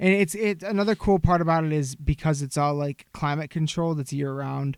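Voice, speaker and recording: On a very clean recording with a silent background and a dry, close sound with no echo, a man with a strong Michigan accent talks at a fairly quick pace, fairly high in pitch with ordinary pitch variation. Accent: thick Michigan. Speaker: podcast co-host. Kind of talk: casual chat.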